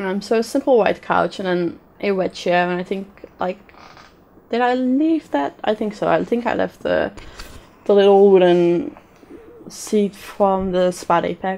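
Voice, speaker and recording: Amid noticeable background noise, a woman speaks fairly slowly at a medium pitch with lively intonation. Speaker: gaming YouTuber. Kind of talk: gameplay commentary. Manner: hesitant, many ums.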